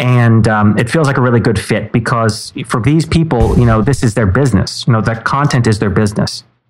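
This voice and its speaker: Over music in the background, a man talks at a fairly quick pace with ordinary pitch variation and very even loudness. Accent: American. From New York City, Manhattan. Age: 30s. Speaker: former book editor. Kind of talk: interview.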